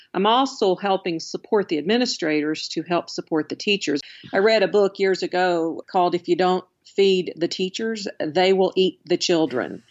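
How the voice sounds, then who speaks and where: A woman's medium-pitched voice with a slight Alabama accent, moderate pace, ordinary pitch variation and very even loudness. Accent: slight Southern US (Alabama). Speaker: education consultant. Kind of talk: interview.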